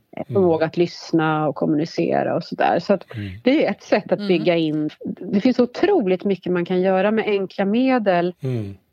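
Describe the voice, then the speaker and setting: A woman with a normal speaking voice talks at a moderate pace in a medium pitch, her intonation lively. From Värmland, Sweden. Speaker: government agency manager. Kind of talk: interview. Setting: phone call.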